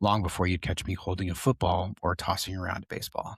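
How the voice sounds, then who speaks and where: A man speaks in a very deep, low voice with a calm, soothing tone and a somewhat breathy quality. The recording is very clean with a silent background, and the sound is dry and close with no echo. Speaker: podcast host and tattoo artist. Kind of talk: personal storytelling monologue. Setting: podcast recording. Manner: grounded, soothing.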